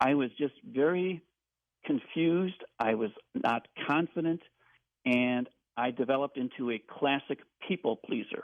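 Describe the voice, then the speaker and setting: A man with a fairly high pitch talks at a fairly slow pace, his loudness very even and his intonation lively, leaving long, frequent pauses. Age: 60s. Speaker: caller. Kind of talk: personal testimony. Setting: phone call.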